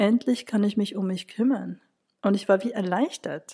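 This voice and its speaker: A woman speaks with a dark, mellow tone at medium pitch. Her intonation is fairly even. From Switzerland, Zürich. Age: 40s. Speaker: graphic designer, cancer patient. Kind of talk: personal testimony.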